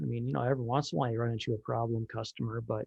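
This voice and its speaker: A man with an Upper Midwest US accent talks at a medium pitch. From Minnesota. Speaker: electronics repair technician. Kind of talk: casual interview chat. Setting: video call.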